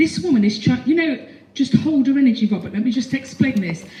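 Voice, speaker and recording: A woman's high-pitched voice at a fairly quick pace, with noticeable background noise and audible room echo. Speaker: psychic medium. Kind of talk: live audience mediumship demonstration. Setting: stage with audience in a hall. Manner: animated.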